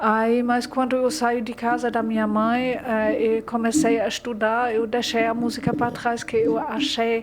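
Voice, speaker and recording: A woman's fairly high, fairly even voice with hardly any pauses, over noticeable background noise. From Germany. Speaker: literature graduate, German teacher. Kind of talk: interview. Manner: halting.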